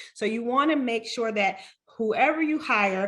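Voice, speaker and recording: The pace here is moderate, with ordinary pitch variation. It is a plain, everyday voice. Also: woman. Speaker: realtor. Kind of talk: webinar presentation.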